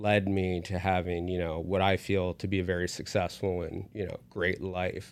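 A man with an American accent speaks in a very deep, low pitch with monotone, flat intonation at a moderate pace and hardly any pauses. The recording is very clean, with a silent background. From West Virginia. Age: 30s. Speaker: university academic advisor. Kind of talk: casual interview.

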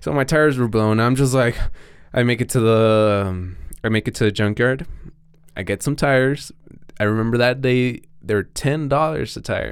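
On a very clean recording with a silent background, a man with a Mexican accent speaks at a moderate pace, his medium pitch showing ordinary variation. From Mexico. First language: Spanish. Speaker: BMX rider. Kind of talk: casual chat. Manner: halting.

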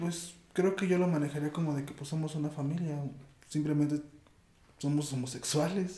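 Moderate-paced speech from a man, fairly high in pitch, with fairly even intonation and audible room echo. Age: 20s. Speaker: interview guest. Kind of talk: casual conversation.

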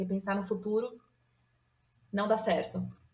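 Somewhat breathy, a woman talks at a fairly slow pace with a fairly high pitch. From São Paulo state, Brazil. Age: 30s. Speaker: nutritionist, podcast listener guest. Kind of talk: casual chat.

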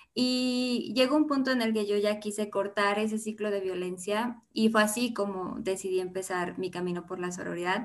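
Her pitch medium with ordinary variation, a woman speaks at a moderate pace with hardly any pauses. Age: 20s. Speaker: feminist social media founder. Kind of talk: podcast interview.

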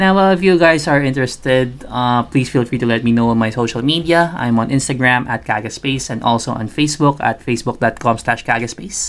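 With a Filipino accent, a man at medium pitch talks at a fairly quick pace with hardly any pauses and ordinary pitch variation. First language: Tagalog. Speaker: podcast host. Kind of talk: casual podcast monologue. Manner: filler-heavy, informal.

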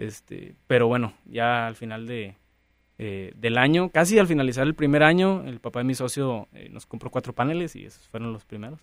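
A man with a normal speaking voice and medium pitch talks at a moderate pace, with lively intonation and big swings in loudness, in a very clean recording with a silent background. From rural Nuevo León, Mexico. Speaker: entrepreneur. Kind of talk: interview.

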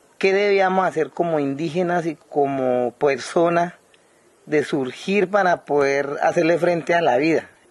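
A fairly high-pitched man's voice with fairly even intonation, set against noticeable background noise. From Guaviare, Colombian Amazon. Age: 30s. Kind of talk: interview. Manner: halting, frequent repetitions.

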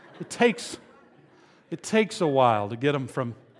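A man talks with an animated tone at a moderate pace. His pitch is fairly high. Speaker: pastor. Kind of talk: sermon. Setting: stage with audience.

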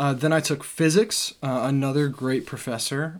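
An unremarkable speaking voice with an American accent talks at a moderate pace with fairly even intonation. The recording is very clean, with a silent background. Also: man. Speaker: podcast co-host, college student. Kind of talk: casual chat.

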